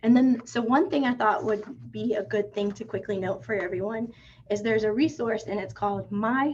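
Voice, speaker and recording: A woman with a fairly high voice and vocal fry speaks with ordinary pitch variation. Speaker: real estate attorney presenting. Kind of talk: webinar presentation. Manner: fast.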